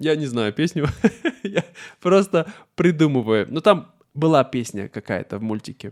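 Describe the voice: A man speaks at a moderate pace with fairly high pitch and lively intonation. The recording is very clean, with a silent background.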